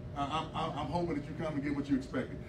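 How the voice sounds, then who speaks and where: Noticeable background noise sits behind a man's fairly high voice. His tone is animated. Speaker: preacher. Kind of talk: sermon. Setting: church. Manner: animated, call-and-response pulpit delivery, exhorting the congregation. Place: church. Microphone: handheld.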